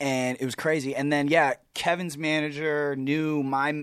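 Recorded very cleanly against a silent background, a man talks with fairly even intonation. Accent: Californian. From Southern California (Riverside). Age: 20s. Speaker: musician and actor. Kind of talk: casual chat.

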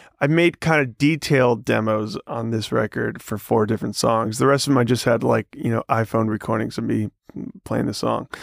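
A man speaks at a moderate pace with vocal fry and ordinary pitch variation. His medium-pitched voice has a dry, close sound with no echo. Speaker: music producer and podcast co-host. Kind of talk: casual conversational discussion.

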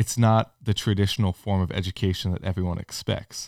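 In a very clean recording with a silent background, a man with an American accent uses a normal speaking voice at a fairly low pitch and a moderate pace. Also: dry, close sound with no echo. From California. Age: young. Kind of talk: casual chat.

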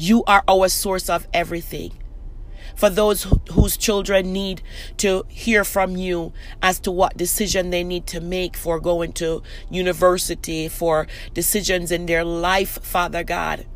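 Someone talks fairly slowly while noticeable noise sits in the background. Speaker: prayer podcast host. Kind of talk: fervent prayer, intercessory pleading. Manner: earnest, impassioned, pleading; rhythmic, repetitive phrasing.

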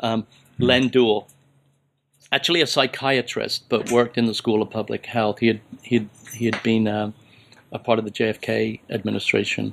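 A man speaks at a moderate pace and medium pitch, with vocal fry and monotone, flat intonation. He leaves long, frequent pauses. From England (Plymouth), military family moving around. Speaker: kinesiology professor. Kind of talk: interview conversation. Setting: at the guest's home.

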